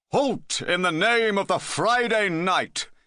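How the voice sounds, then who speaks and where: A man shouts in a put-on character voice, raised and projected, pitched high for a man with ordinary pitch variation, at a fairly slow pace. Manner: shouting a challenge.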